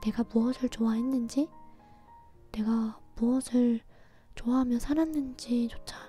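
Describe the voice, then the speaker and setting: A woman's calm, fairly slow speech at a fairly high pitch, with music in the background. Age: 20s. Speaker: ASMR creator and radio host. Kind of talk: late-night personal diary-style radio talk. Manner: soft, calm, intimate, slow.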